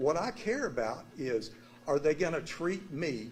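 Very wide pitch swings mark this man's speech in a Texan accent. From Texas, Dallas. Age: 60s. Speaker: resident speaking at council meeting. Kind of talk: public comment.

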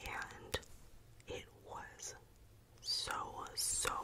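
A woman whispers. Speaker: content creator. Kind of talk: soft-spoken show-and-tell chat. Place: home room. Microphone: studio mic.

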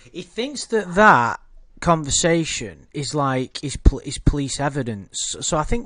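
A man with a British accent, fairly high pitched, his bright, sharp tone moving at a fairly slow pace, with very wide pitch swings and big swings in loudness. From Britain. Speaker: YouTube commentary host. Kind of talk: casual livestream chat. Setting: online livestream with chat.

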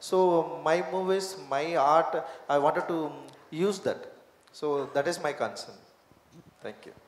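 Very slowly and with long, frequent pauses, a man in a Tamil accent speaks at a high pitch with fairly even intonation amid audible room echo. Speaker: film director. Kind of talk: press conference. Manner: halting. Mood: earnest, reflective. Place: hall. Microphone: handheld.

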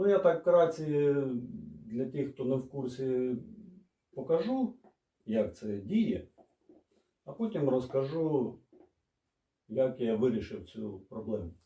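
A man of medium pitch speaks at a very slow pace with long, frequent pauses, his tone dark and mellow and his intonation lively. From Odesa, Ukraine. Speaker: mechanic. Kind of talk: casual talk to camera, DIY explanation. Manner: slow, hesitant.

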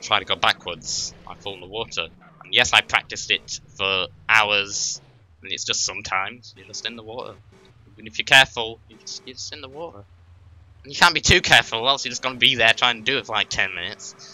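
Speaking at a very fast pace, a man of medium pitch shows ordinary pitch variation and big swings in loudness. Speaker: streamer. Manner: frustrated, venting.

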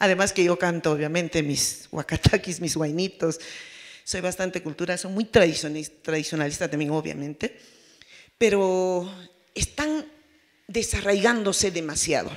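A woman talks at a fairly slow pace with a fairly low pitch and ordinary pitch variation. The background is quiet. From Peru, Apurímac; Peru. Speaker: peasant federation representative; panelist. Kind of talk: panel talk. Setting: forum with audience. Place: hall. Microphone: handheld.

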